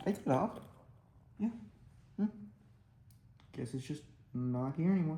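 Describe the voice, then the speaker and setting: This quiet man speaks at a moderate pace in a fairly high voice with a dark, mellow tone, lively intonation, and long, frequent pauses. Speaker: hobbyist miniature builder. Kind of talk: casual build commentary. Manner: quiet, hushed; halting, many fillers.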